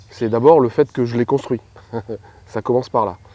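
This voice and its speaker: The voice is a man's, at medium pitch with ordinary pitch variation and a dark, mellow tone. The sound is dry and close with no echo. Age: 50s. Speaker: airline pilot, former fighter pilot. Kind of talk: documentary interview. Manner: hesitant, many fillers.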